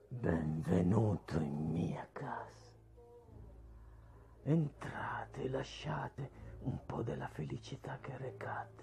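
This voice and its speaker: A man's raspy, put-on character voice, very deep and low, with very wide pitch swings, a very slow pace, long, frequent pauses and light background noise. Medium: dub.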